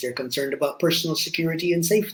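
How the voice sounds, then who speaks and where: The speaker is a man with a high-pitched voice. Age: 60s. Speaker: company founder and CEO. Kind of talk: interview.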